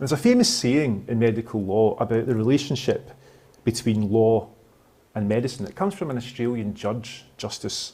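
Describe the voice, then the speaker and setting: In a Scottish accent, a man speaks at a moderate pace with a medium pitch and ordinary pitch variation. His tone is dark and mellow, and his loudness swings widely. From Scotland. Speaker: law professor. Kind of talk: lecture.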